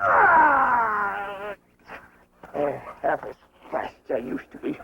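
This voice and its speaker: The speaker does a put-on character voice at a fairly high pitch and a very slow pace. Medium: short film. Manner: rough, folksy, exclamatory.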